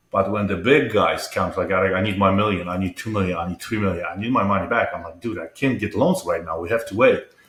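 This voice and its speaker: Barely pausing, a man with a Polish accent speaks at a very fast pace and a fairly low pitch with ordinary pitch variation. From Poland. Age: 50s. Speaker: entrepreneur and mental health advocate. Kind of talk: interview.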